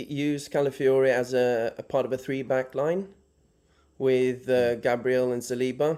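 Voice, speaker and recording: With a Norwegian accent, a man speaks at medium pitch in a dark, mellow tone. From Norway. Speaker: caller. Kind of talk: call-in question on live show. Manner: halting.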